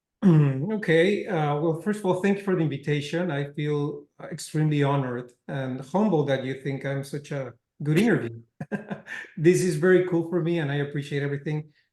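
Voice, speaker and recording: In a slight Spanish accent, a man talks at a fairly quick pace with a dark, mellow tone and ordinary pitch variation. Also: fairly high pitch for a man. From Mexico. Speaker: cinema chain executive. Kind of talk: interview.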